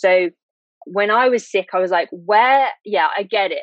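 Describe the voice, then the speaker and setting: A woman with a British accent, at a moderate pace. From UK. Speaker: illustrator and long COVID patient. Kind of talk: interview testimony.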